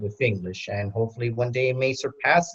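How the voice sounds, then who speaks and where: A man with an American accent speaks in an ordinary speaking voice at a medium pitch, with ordinary pitch variation and a fairly quick pace. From New York, Queens. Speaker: panelist father. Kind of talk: panel discussion.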